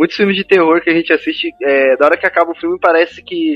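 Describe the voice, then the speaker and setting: Over music in the background, a man speaks with a high pitch and fairly even intonation. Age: 20s. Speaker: podcast host. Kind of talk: casual chat.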